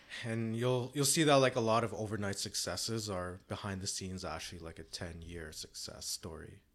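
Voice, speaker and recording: A man with a Canadian accent uses an unremarkable speaking voice, fairly low in pitch with ordinary pitch variation, moving at a fairly quick pace with hardly any pauses. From Canada (Toronto). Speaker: entrepreneur and rock musician. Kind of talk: casual interview.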